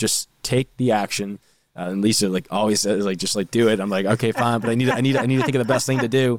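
A man with an American accent talks very fast with fairly even intonation. The sound is dry and close, with no echo. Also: medium pitch for a man. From Boston North Shore, Massachusetts. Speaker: podcast co-host. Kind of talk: casual chat.

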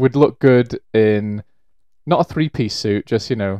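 A man with a Welsh accent at a fairly slow pace, dark and mellow in tone, in a dry, close sound with no echo over a quiet background. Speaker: rugby podcast co-host. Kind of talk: casual chat.

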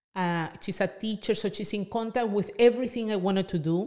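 On a very clean recording with a silent background, a woman speaks at medium pitch with a Spanish accent. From Venezuela. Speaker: small business owner. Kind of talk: podcast interview.

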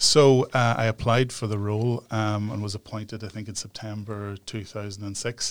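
With a Northern Irish accent, a man speaks in a fairly low, monotone voice at a moderate pace, with hardly any pauses. The recording is very clean, with a silent background. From Northern Ireland, near Newry. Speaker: human rights organisation director. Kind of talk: interview. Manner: hesitant, many fillers.

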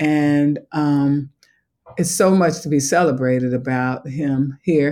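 On a very clean recording with a silent background, a woman with a slight Southern US accent speaks very slowly in a very deep, low pitch and a dark, mellow tone. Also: fairly even intonation. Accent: slight Southern country tinge. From Chicago. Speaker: museum education executive. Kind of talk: interview.

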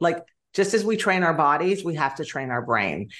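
A woman speaks with a fairly low pitch. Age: 50s. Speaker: wellness and nutrition coach. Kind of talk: interview.

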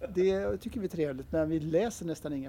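A man talks at a fairly quick pace with a dark, mellow tone. His pitch is fairly high, with ordinary variation. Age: 60s. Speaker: game designer. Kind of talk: interview. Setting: convention.

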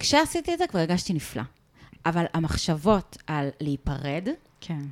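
Against a silent background, this woman comes through on a very clean recording. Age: 30s. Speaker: podcast co-host. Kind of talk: casual chat. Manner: loud.

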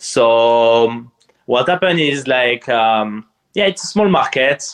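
A man with a French accent speaks at a very slow pace. His medium-pitched voice carries lively intonation. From eastern France near Strasbourg. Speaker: poker player and streamer. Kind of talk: casual interview chat. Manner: halting, searching for words.

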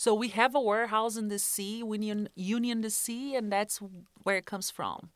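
A woman's fairly high voice at a moderate pace, with monotone, flat intonation. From Brazil. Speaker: grocery store manager. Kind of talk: interview.

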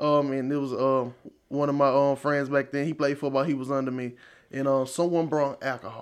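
A man with an East Texas accent and a fairly high pitch speaks at a fairly quick pace in a monotone, flat way. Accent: East Texas Southern US. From East Texas, Marshall. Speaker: church member giving testimony. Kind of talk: testimony.

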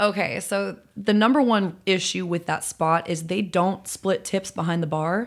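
A woman with an American accent speaks at a fairly slow pace and medium pitch with ordinary pitch variation and hardly any pauses. The recording is very clean with a silent background. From Chicago area, Illinois. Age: young. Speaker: singer-songwriter. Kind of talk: casual chat. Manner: animated.

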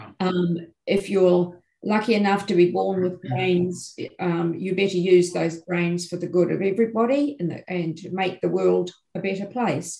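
A woman with a New Zealand accent speaks at a moderate pace and medium pitch, with ordinary pitch variation and big swings in loudness. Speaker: education professor. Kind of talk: interview.

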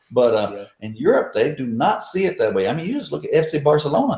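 With a Texan accent, a man talks at a fairly quick pace. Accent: Texan American English. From US South, deep south Texas. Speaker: American football coach. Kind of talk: casual chat.

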